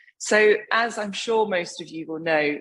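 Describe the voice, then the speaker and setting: A woman speaks with an English accent and ordinary pitch variation. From England. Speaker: wine writer. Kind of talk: lecture.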